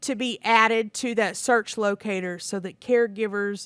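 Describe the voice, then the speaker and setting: On a very clean recording with a silent background and a dry, close sound with no echo, a woman has an unremarkable speaking voice, fairly high in pitch with fairly even intonation. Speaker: state program presenter. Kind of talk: presentation at public meeting.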